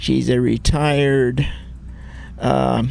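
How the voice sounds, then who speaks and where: Over music in the background, a man with an American accent speaks at a very slow pace. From Ventura County, California. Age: old. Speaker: musician, writer, and community historian. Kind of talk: interview answer.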